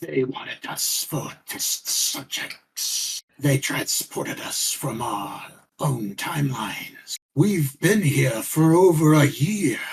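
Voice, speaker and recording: A raspy, put-on character voice from a man, fairly high in pitch, at a very slow pace. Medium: actual play.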